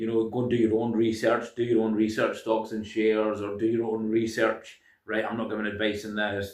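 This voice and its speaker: A man with a Scottish accent talks at a fairly quick pace and medium pitch. His intonation is monotone and flat. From Scotland. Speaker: self-help video creator. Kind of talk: casual monologue. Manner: hesitant, many fillers.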